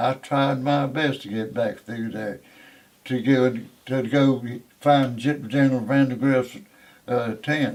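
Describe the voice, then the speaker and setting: Pausing long and often, a man speaks at a very slow pace. His pitch is medium and his intonation monotone and flat. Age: 80s+. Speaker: war veteran. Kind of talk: interview answer. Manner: rich and compelling detail.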